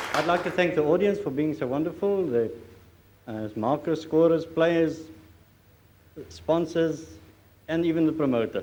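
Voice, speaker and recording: There is noticeable background noise and audible room echo around this man's voice. He speaks at a fairly slow pace with a fairly high pitch and ordinary pitch variation. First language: not English. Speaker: snooker player, losing finalist. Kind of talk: speech after a snooker final. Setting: stage with audience. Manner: halting.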